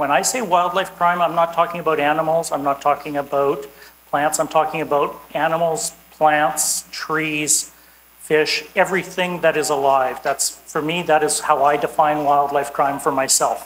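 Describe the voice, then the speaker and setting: A woman with a Canadian accent talks at a moderate pace in a very deep, low pitch with fairly even intonation. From Canada. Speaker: environmental law enforcement expert. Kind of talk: conference talk.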